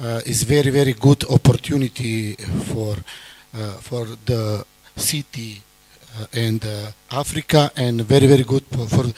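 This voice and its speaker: A man with a non-native accent speaks at a fairly slow pace and a medium pitch, his intonation fairly even but his loudness swinging widely. The sound is dry and close with no echo, though background noise is noticeable. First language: not English. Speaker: delegation member. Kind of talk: formal speech. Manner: halting.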